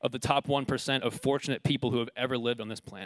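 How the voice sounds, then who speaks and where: A man talks at a very fast pace with an American accent. The recording is very clean with a silent background, and the sound is dry and close with no echo. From United States. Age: 20s. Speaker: preacher. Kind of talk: sermon.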